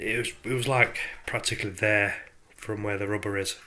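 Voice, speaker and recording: With a British accent, a man speaks at a moderate pace, his pitch fairly low and his intonation fairly even. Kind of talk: casual DIY tutorial to camera. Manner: hesitant, casual.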